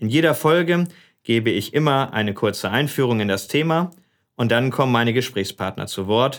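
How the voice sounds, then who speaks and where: A man speaks with a plain, everyday voice at a medium pitch and a moderate pace. His intonation is lively, and the recording is very clean with a silent background. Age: 40s. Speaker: politician and podcast host. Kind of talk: casual interview.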